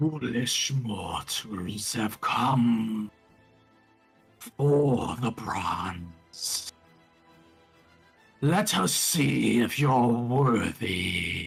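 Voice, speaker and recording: A booming, put-on character voice at a low-to-middle pitch moves at a very slow pace while faint music plays in the background. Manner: crackling, as if on fire.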